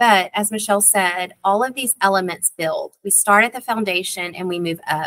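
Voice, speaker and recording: Speaking with an East Texas accent, a woman uses a medium pitch and ordinary pitch variation. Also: dry, close sound with no echo. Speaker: school district literacy coordinator. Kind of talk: parent workshop presentation. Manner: casual, with frequent fillers.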